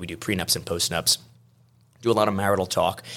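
The speaker is a man with a fairly low voice. He talks at a very fast pace. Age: 40s. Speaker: attorney. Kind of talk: casual chat. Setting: studio.

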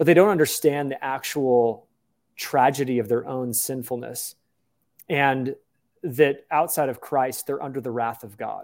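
A man speaks in a normal speaking voice at medium pitch, fairly slowly and with fairly even intonation, his loudness swinging widely. The recording is very clean, with a silent background. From United States. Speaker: pastor and author. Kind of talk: interview.

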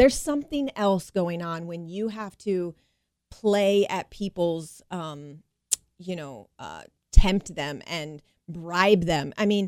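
At a very slow pace, a woman talks with lively intonation and a fairly low pitch. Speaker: chiropractor. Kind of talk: radio interview.

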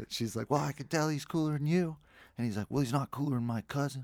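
In a very clean recording with a silent background and a dry, close sound with no echo, a man with an American accent uses an ordinary speaking voice at a medium pitch with ordinary pitch variation. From Colorado (Jamestown, near Boulder). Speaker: musician, band frontman. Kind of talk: casual interview chat.

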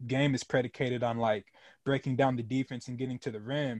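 A man's monotone, flat delivery at a fairly quick pace and medium pitch. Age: 20s. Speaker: podcast host. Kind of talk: casual chat.

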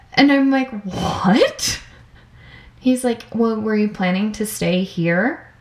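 Noticeable background noise accompanies a woman speaking at a fairly high pitch and a very slow pace. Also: ordinary pitch variation. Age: 20s. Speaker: podcast co-host. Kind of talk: casual chat.

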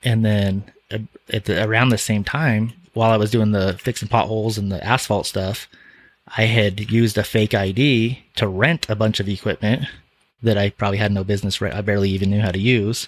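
A man speaks fairly quickly with a fairly low pitch. He has a plain, everyday voice and fairly even intonation. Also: very clean recording, silent background. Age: 40s. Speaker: auto shop owner. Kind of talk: interview. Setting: studio.

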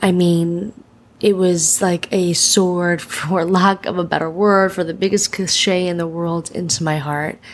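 A woman with a medium pitch speaks at a fairly slow pace in a plain, everyday voice. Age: 30s. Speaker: podcast host and breakup coach. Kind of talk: casual podcast monologue and interview.

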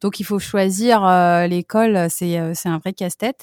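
A woman with a French accent speaks at a fairly slow pace and a medium pitch, her intonation fairly even, in a dry, close sound with no echo. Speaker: French teacher, expat mother. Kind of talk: casual interview.

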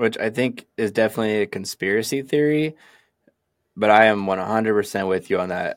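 An unremarkable speaking voice from a man with an American accent, fairly low in pitch with ordinary pitch variation, on a very clean recording with a silent background. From Sacramento, California. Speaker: podcast co-host. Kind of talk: casual chat.

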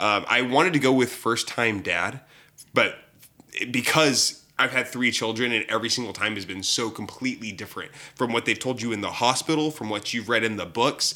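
Speaking at a moderate pace, a man uses a medium pitch and a bright, sharp tone with ordinary pitch variation. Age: 30s. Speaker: podcast host and gamer. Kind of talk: casual chat.

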